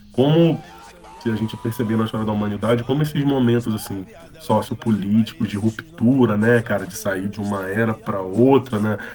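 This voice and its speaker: Over music in the background, a man speaks at a moderate pace and medium pitch with ordinary pitch variation. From Brazil, Rio de Janeiro. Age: 30s. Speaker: rapper and funk musician. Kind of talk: casual interview chat.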